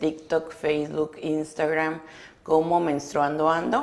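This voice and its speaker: The woman's voice sits at a very deep, low pitch. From Mexico, Sonora (Álamos); Sonora, Mexico. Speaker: educational psychologist; guest. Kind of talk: interview. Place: studio. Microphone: lapel.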